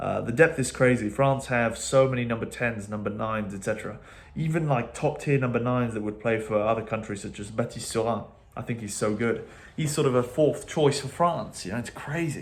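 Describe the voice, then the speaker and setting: Audible room echo surrounds a man with an English accent whose voice is somewhat breathy. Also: medium pitch for a man, ordinary pitch variation. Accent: English accent when speaking. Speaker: rugby commentator. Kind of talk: casual post-match reaction monologue. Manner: hesitant, many fillers and repeats.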